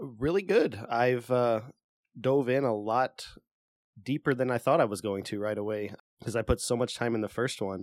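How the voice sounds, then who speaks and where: Heard as a dry, close sound with no echo, a plain, everyday voice moves at a moderate pace with ordinary pitch variation. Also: man, medium pitch for a man. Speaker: video game podcast co-host. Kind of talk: casual chat.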